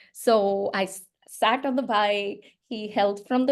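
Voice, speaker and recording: A woman with an Indian accent, medium pitch and fairly even intonation. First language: Hindi. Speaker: children's book author. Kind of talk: interview. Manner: hesitant, many fillers.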